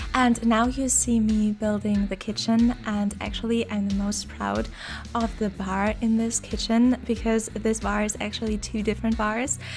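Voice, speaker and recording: A woman speaks at a moderate pace with a non-native accent. Music can be heard in the background. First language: not English. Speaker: video game builder youtuber. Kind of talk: voiceover commentary on a speed build. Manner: halting, with fillers and repeats.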